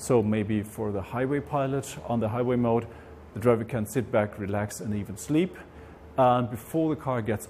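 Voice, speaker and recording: A man talks at a moderate pace in a dark, mellow tone. His pitch varies in an ordinary way over light background noise. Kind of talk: interview answer. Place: garage. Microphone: lapel.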